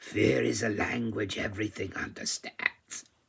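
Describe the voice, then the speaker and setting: A man puts on a raspy character voice with a fairly low pitch. He keeps a moderate pace. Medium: read story. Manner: deferential, old-fashioned speech.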